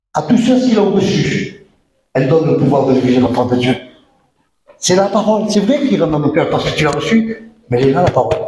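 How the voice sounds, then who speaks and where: A man speaks at a fairly quick pace in a fairly high voice, with very wide pitch swings, long and frequent pauses, very even loudness and audible room echo. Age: 60s. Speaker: pastor. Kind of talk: sermon. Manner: animated, emphatic.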